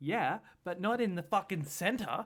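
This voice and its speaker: Animated in tone, a man with an Australian accent talks at a fairly slow pace on a very clean recording with a silent background. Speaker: political commentator. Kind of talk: reaction commentary.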